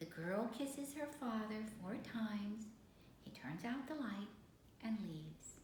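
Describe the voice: Aloud, a plain reading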